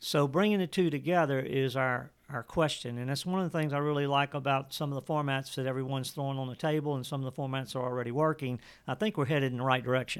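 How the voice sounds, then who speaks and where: Recorded very cleanly against a silent background, a man with an American accent and a fairly high pitch talks very fast with fairly even intonation and hardly any pauses. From Louisiana, US. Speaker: water ski coach and event organizer. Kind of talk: interview. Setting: in person. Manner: repetitive false starts.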